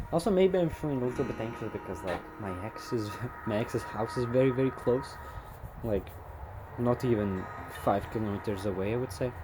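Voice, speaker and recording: A man's medium-pitched, fairly quick speech with lively intonation and long, frequent pauses, music in the background. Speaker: vlogger. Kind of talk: casual monologue video diary. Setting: outdoors. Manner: halting, many fillers.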